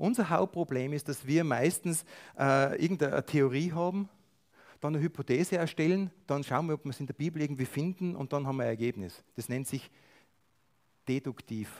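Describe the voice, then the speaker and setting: This is a normal speaking voice at a moderate pace, with ordinary pitch variation. The sound is dry and close, with no echo. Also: man, fairly high pitch for a man. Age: 50s. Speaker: lay preacher. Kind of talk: sermon.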